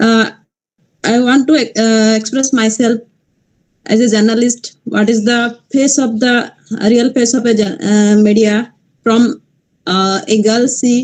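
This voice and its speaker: A woman with a fairly high, somewhat breathy voice speaks at a fairly slow pace with fairly even intonation. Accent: Odisha. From Malkangiri, Odisha, India. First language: Odia. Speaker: journalist. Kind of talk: panel discussion talk. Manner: halting, many hesitations.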